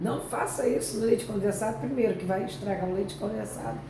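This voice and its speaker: Noticeable background noise and audible room echo around a speaking woman. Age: 60s. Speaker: YouTube talk show host. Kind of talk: casual chat.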